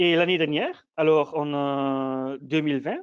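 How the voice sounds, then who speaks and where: The man speaks with a non-native accent. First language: not French (speaking French). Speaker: PhD student presenting research. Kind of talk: academic conference talk. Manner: halting, many hesitations and repetitions.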